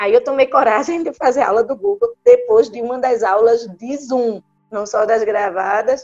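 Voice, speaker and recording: Music plays behind a woman who speaks at a moderate pace with ordinary pitch variation, recorded dry and close with no echo. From Brazil, Recife. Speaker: neurologist. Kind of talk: interview.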